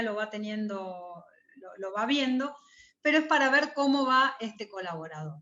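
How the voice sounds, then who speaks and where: This woman has a high voice with lively intonation. She speaks at a fairly slow pace. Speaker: university lecturer. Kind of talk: lecture.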